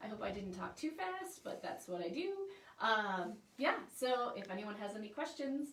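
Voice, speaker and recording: Her fairly high voice moves through very wide pitch swings. The woman's speech carries audible room echo. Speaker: newspaper reporter. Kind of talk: informational presentation. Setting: Facebook livestream. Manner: fast; animated.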